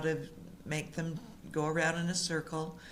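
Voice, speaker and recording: With an American accent, a woman speaks at a moderate pace in a very deep, low pitch, with audible room echo. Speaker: community volunteer presenter. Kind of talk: informal presentation to audience.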